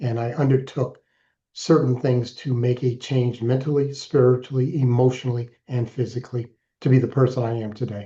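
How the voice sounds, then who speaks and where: A man with an American accent speaks in a flat monotone at medium pitch. His voice is somewhat breathy, with a dark, mellow tone. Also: moderate pace. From Alaska, US. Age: 60s. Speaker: keynote speaker and author in recovery. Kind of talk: interview testimony.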